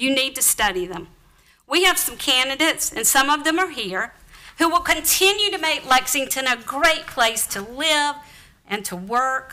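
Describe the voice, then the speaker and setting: A woman with a Southern US accent projects her high-pitched voice at a moderate pace. Her tone is bright and sharp, with very wide pitch swings. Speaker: town council member. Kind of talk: formal speech at a council meeting. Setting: council chamber at town hall.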